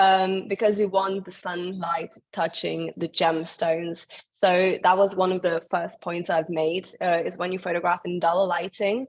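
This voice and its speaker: Pausing hardly at all, a woman with a fairly low voice speaks fairly slowly in a flat, monotone way. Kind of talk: webinar presentation. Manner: halting.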